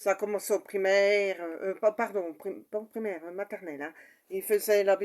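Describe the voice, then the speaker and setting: The speaker is a woman. She talks at a moderate pace with a medium pitch. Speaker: mother sharing personal story. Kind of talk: personal testimony. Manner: halting, many fillers.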